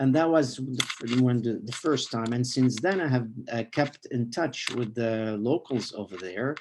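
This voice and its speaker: The speaker talks at a moderate pace, the background quiet. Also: man. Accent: Arabic. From Lebanon (Beirut). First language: Arabic. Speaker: rabbi. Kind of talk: interview. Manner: halting, many fillers.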